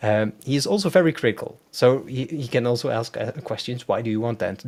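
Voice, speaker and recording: At a moderate pace, a man speaks with a Dutch accent. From Netherlands. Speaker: web designer. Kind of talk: live demo tutorial. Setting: live stream video call. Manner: hesitant, many fillers.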